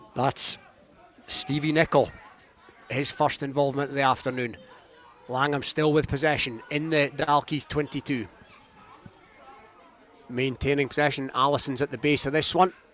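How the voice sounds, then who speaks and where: Over crowd noise, a man with a fairly high pitch speaks at a moderate pace in monotone, flat intonation, leaving long, frequent pauses. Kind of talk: live rugby match commentary. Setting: rugby ground, live radio broadcast.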